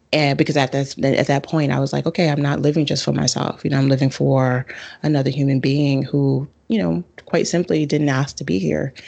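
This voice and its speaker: Speaking fairly quickly with a New York accent, a woman uses a very deep, low pitch, a dark, mellow tone, vocal fry, ordinary pitch variation and very even loudness. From Bronx, New York. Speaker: astrologer and author. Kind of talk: casual interview.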